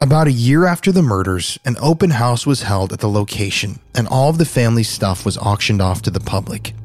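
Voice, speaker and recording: A man speaks at a fairly quick pace with lively intonation. Music plays in the background. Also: medium pitch for a man, hardly any pauses. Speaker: true crime podcast host. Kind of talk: dramatic true-crime narration. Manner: somber, hushed, suspenseful delivery.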